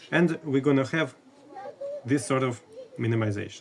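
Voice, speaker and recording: Noticeable background noise sits behind a man with a non-native accent. He talks at a fairly slow pace and medium pitch, with ordinary pitch variation. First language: not English. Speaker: math educator. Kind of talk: lecture. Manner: halting.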